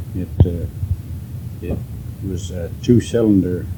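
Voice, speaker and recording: A man with a very deep, low pitch and fairly even intonation over noticeable background noise. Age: 80s+. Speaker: farmer. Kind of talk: interview answer. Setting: home.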